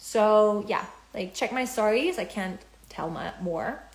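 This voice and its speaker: A woman's somewhat breathy, fairly high voice with lively intonation. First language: German. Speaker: spiritual business coach. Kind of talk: live stream talk. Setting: Instagram live. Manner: halting.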